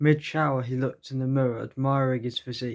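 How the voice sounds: Fairly even intonation in a natural reading voice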